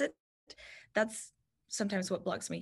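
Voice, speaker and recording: In a quiet setting, a woman with a Spanish accent speaks with fairly even intonation. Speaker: TV news reporter. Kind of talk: guest talk with Q&A.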